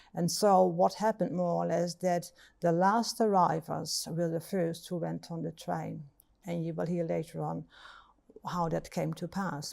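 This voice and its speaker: A woman speaks with a dark, mellow tone at a fairly low pitch and a moderate pace. Her intonation is fairly even, with vocal fry. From Netherlands. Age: 70s. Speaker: storyteller. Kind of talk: testimony. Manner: halting.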